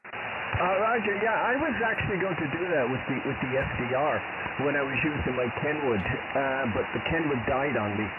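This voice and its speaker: Against noticeable background noise and audible room echo, a man with an American accent speaks at a moderate pace and a fairly high pitch, his pitch swinging very widely while his loudness stays very even. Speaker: amateur radio operator. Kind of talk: ham radio contact. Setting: radio transmission.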